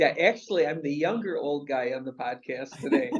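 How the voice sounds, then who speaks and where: This man has a fairly high pitch. His pace is moderate. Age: 60s. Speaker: real estate investment executive. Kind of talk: interview.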